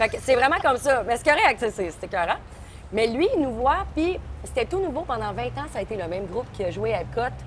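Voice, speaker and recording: A woman with a Quebec accent talks fairly quickly at a fairly high pitch, her pitch swinging very widely. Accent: Québécois French. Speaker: singer-songwriter. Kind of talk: casual chat. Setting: outdoor restaurant terrace. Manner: animated.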